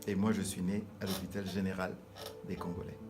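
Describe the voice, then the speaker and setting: With music in the background and audible room echo, a man talks at a fairly quick pace and a fairly low pitch. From DR Congo, Kinshasa. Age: 60s. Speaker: pastor. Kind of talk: interview. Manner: halting.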